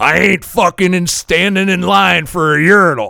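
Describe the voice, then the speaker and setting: Using a put-on character voice, a man sounds raspy and gruff at a high pitch, keeping a moderate pace and very even loudness. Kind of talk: crude. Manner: gruff, annoyed.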